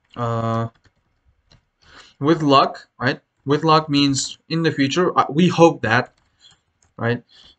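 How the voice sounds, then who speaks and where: Speaking very slowly with long, frequent pauses, a man with a fairly high pitch talks in a non-native accent. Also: ordinary pitch variation. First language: not English. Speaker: English exam teacher. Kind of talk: tutorial. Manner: hesitant, many fillers.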